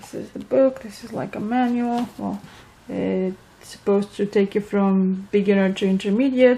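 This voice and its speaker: A woman with a Romanian accent, medium pitch, and big swings in loudness. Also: ordinary pitch variation, moderate pace. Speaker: vlogger. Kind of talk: casual vlog update. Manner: hesitant, many fillers.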